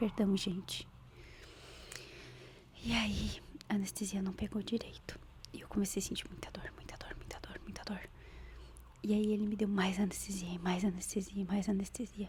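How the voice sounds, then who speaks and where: At a moderate pace, a woman speaks with big swings in loudness and long, frequent pauses over noticeable background noise. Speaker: ASMR creator. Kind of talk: ASMR gossip storytelling to camera. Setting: close microphone. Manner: soft-spoken.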